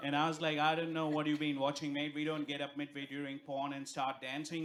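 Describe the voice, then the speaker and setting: With an Indian accent, a man speaks at a fairly high pitch against noticeable background noise. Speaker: stand-up comedian. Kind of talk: stand-up. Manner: animated.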